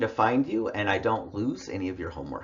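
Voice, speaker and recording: A man with an American accent speaks at a moderate pace with vocal fry. Audible room echo surrounds his voice. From US West, Idaho. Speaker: college English instructor. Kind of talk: online lecture. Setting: recorded online class with headphones. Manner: casual, conversational.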